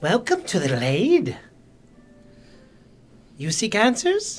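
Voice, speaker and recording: Speaking at a very slow pace, this put-on character voice sits at a fairly high pitch. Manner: mysterious.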